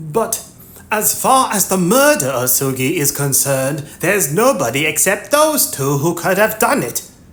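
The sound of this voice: A shrill, put-on character voice at middle pitch and moderate pace, with very wide pitch swings.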